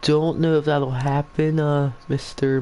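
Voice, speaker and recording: Noticeable background noise is present. Through it, a man can be heard talking. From Virginia. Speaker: video game commentator. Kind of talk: live commentary.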